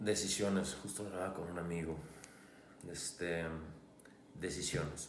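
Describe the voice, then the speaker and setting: Long, frequent pauses break up the speech of a man with a northern Mexican accent, heard with audible room echo and noticeable background noise. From Hermosillo, Sonora, Mexico. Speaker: life coach. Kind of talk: casual chat.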